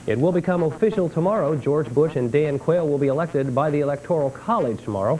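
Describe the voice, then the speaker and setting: In a plain, everyday voice, a man with an American accent speaks at a fairly high pitch with lively intonation. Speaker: TV news anchor. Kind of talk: local TV newscast anchor read.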